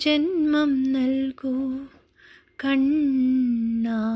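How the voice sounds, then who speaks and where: The woman's voice is high in pitch with a dark, mellow tone. Her intonation stays fairly even. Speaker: poetry reciter. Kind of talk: poetry reading, devotional verse.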